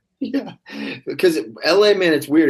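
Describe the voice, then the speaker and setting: With lively intonation and a moderate pace, a man speaks in an unremarkable speaking voice, recorded very cleanly against a silent background. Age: 30s. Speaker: actor. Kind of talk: casual chat.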